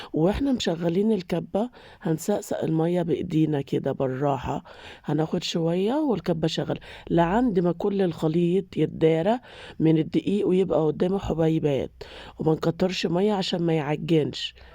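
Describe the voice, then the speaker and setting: A woman's dark, mellow tone at a fairly slow pace, very even in loudness, over a quiet background. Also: fairly low pitch for a woman, ordinary pitch variation. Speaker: cooking channel host. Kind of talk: cooking tutorial. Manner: casual, chatty.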